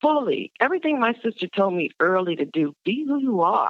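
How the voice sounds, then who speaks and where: A woman's voice shows vocal fry and very wide pitch swings. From Virginia. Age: 40s. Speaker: professor and poet. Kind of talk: interview.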